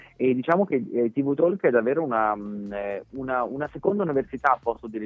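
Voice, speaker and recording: A man with an unremarkable speaking voice talks at a fairly quick pace, with lively intonation and hardly any pauses. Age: 30s. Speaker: TV presenter. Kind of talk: interview. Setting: phone call.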